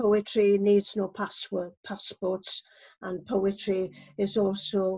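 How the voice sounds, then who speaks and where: In a Welsh accent, a woman of medium pitch speaks very slowly in a somewhat breathy voice with a dark, mellow tone. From Wales. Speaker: poet. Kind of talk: personal introduction.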